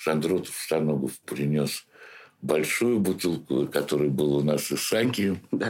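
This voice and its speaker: Very even loudness at a fairly slow pace. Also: man, very deep, low pitch for a man, ordinary pitch variation. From St. Petersburg, Russia. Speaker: theatre director. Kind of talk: interview. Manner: halting.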